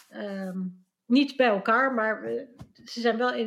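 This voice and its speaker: A woman's fairly high-pitched, fairly slow delivery in an ordinary speaking voice, with fairly even intonation. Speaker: Dutch expat panelist. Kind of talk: casual chat.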